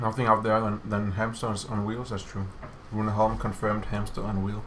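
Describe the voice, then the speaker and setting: A man with a Danish accent and fairly low pitch talks at a moderate pace in a monotone, flat intonation, with audible room echo. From Denmark. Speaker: game developer streamer. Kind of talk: casual chat. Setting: office livestream.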